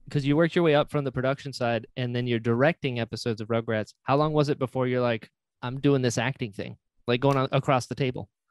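Over a dry, close sound with no echo, a man speaks at a fairly quick pace and medium pitch. He has a plain, everyday voice. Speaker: podcast host. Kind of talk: casual chat. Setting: video call.

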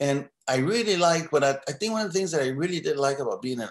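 A man's voice rises and falls in very wide pitch swings. The room echo is audible. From New Mexico. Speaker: artist and muralist. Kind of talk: interview. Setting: video call. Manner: halting. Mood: reminiscing, relaxed. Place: home room. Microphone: video call.

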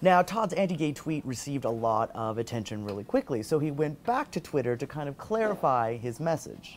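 Over light background noise, a man speaks at a fairly quick pace with very wide pitch swings and hardly any pauses. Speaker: video blog host. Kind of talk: news vlog commentary. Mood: lightly wry, engaged. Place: office.

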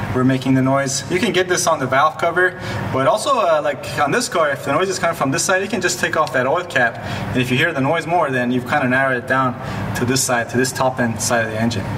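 Against noticeable background noise, a man speaks at a very fast pace with very even loudness and ordinary pitch variation. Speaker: presenter. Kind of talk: tutorial. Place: garage.

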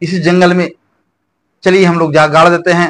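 A man speaks with a high pitch. His pace is fairly slow. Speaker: storyteller. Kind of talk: folk story narration. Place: home room.

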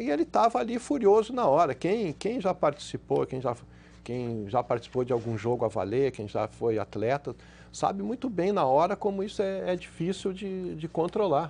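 Very wide pitch swings mark this man's fairly high voice. He keeps a moderate pace. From Brazil. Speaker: sports journalist. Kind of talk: TV panel discussion. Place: studio. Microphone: lapel.

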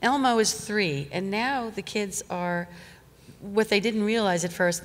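At a medium pace, a woman speaks with typical pitch movement. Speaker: puppeteer's wife, former children's TV staffer; interview guest. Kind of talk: onstage interview. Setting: stage with audience. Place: stage. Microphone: studio mic.

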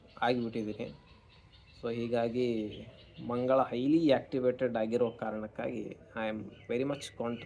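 Dark, mellow tone from a man at medium pitch, with fairly even intonation. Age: 30s. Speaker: astrologer. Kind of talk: monologue to camera.

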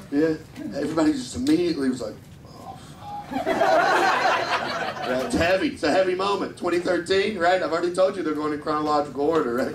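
Against loud background noise, a man speaks fairly quickly in a high pitch with ordinary pitch variation. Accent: American. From Kentucky, US South. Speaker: stand-up comedian. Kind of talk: stand-up. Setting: stage with audience. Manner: animated. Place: stage.

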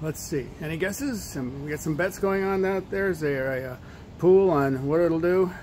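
Light background noise behind a man, his pace moderate and his pitch variation ordinary. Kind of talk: casual sarcastic commentary. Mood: sarcastic, annoyed. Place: street. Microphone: phone near.

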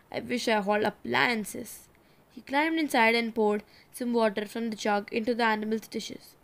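An unforced reading voice with fairly level intonation

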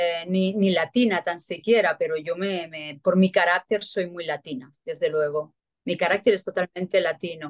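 Moderate pace and ordinary pitch variation over a quiet background. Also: woman, fairly low pitch for a woman. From Spain, Barcelona. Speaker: actress and celebrity lookalike. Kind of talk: interview. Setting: remote interview. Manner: repetitive, halting. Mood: warm, grateful. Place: home room. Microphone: video call.

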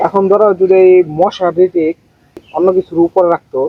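Intonation stays fairly even as a man speaks at a high pitch. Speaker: religious teacher answering questions. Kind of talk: Islamic explanation in dramatized Q&A. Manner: calm, explanatory, friendly.

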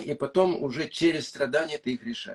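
A man speaks at a very slow pace in a fairly high pitch. The background is quiet. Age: old. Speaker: psychologist and author; interviewee. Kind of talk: interview. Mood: calm, explanatory. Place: home room. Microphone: video call.

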